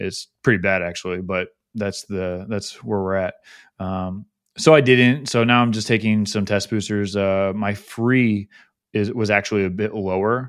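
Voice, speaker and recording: Speaking at a moderate pace, the man has a plain, everyday voice with a fairly low pitch and fairly even intonation, captured in a very clean recording with a silent background. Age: 30s. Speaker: podcast host appearing as guest. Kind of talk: casual interview chat.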